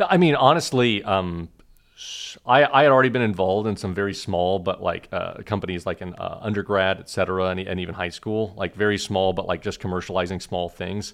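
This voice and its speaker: Over a quiet background, a man with an unremarkable speaking voice talks fairly quickly at a fairly low pitch, with ordinary pitch variation. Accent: American. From Oklahoma. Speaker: startup founder and CEO. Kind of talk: podcast interview.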